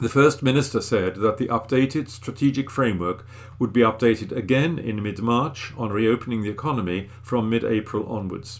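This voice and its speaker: A man at medium pitch and moderate pace, ordinary pitch variation, a plain, everyday voice. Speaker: volunteer newsreader. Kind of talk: newsreading, reading newspaper articles aloud. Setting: recorded at home. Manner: clear, steady, formal newsreader delivery.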